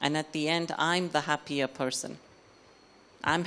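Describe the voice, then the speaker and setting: A woman with a very deep, low voice talks at a fairly slow pace. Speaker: spiritual speaker. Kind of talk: lecture.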